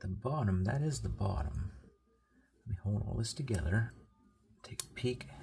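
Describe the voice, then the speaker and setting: A soft-spoken man with a fairly low pitch, a dark, mellow tone and vocal fry, very wide pitch swings, a moderate pace, and long, frequent pauses. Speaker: product reviewer. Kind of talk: product review. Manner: casual.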